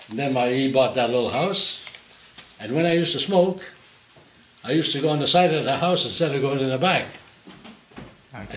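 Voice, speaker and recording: A man talks with ordinary pitch variation and a fairly high pitch while noticeable background noise plays behind him. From Montreal, Canada. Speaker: retiree. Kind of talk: interview answer.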